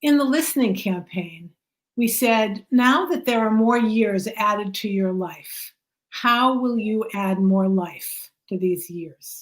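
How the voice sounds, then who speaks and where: Speaking in an American accent, a woman has a fairly high, somewhat breathy voice. She goes at a fairly slow pace with lively intonation. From US Northeast (Boston). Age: 70s. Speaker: rabbi and author. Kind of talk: book talk interview.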